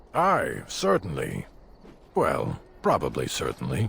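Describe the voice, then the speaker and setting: A man speaks in a put-on character voice that sounds raspy. His pace is fairly slow. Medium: video game. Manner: grumbling, particular.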